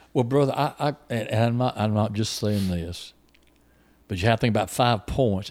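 Recorded very cleanly with a silent background, a man with an ordinary speaking voice talks at a fairly quick pace, with a fairly low pitch and ordinary pitch variation. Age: 60s. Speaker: preacher. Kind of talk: casual chat. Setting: youth camp.

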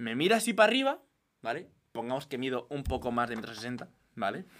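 Bright, sharp tone from a man, at a very fast pace with very wide pitch swings. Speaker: podcast co-host. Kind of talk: casual chat. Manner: loud.

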